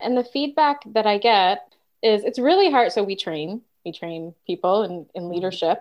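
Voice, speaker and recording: Using lively intonation, a woman speaks at a medium pitch and a moderate pace. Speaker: podcast co-host, leadership trainer. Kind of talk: casual chat.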